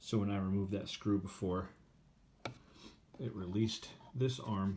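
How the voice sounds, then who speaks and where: A man's fairly low, somewhat breathy voice at a fairly slow pace. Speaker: phonograph restorer. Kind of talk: repair tutorial narration.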